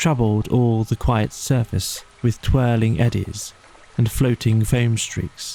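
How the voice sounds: The voice reads naturally. Its intonation remains fairly even.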